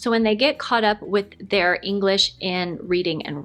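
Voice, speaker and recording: Music plays in the background as a woman with an American accent talks at a moderate pace. Her medium pitch carries lively intonation. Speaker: lifestyle vlogger. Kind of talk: casual Q&A chat.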